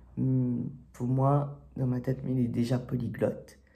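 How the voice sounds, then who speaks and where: A man's somewhat breathy, dark, mellow voice at medium pitch, with fairly even intonation. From Réunion. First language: Réunion Creole (speaking French). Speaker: YouTuber. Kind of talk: casual vlog monologue. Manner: hesitant, many fillers.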